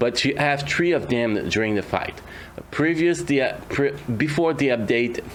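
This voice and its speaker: This man's intonation is lively. He talks at a fairly slow pace. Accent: non-native. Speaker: mobile game YouTuber. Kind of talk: gameplay commentary. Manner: hesitant, many fillers.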